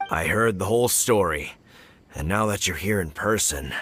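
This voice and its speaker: A man's put-on character voice, raspy and fairly low, at a moderate pace with music in the background. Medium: video game. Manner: earnest, salesmanlike.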